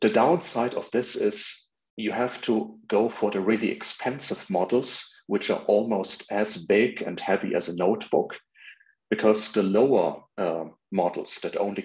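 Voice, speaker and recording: This man has a plain, everyday voice, fairly low in pitch with ordinary pitch variation. He talks at a fairly slow pace against a quiet background. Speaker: presenter. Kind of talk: lecture. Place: home room.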